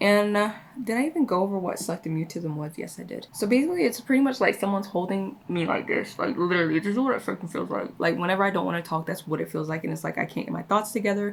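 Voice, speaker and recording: A woman talks at a very fast pace with hardly any pauses, her medium-pitched voice carrying lively intonation. Noticeable background noise is present. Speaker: beauty vlogger. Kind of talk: casual chat. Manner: halting.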